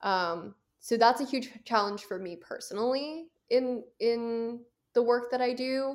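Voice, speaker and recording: A woman with an American accent speaks high and fairly slowly, with ordinary pitch variation, on a very clean recording with a silent background. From US, Philadelphia suburbs. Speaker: film festival director. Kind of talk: casual interview chat.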